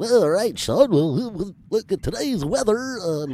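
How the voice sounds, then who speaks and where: Using a put-on character voice, a man speaks high-pitched and at a fairly slow pace, with very wide pitch swings. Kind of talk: polished, bright, customer-service style.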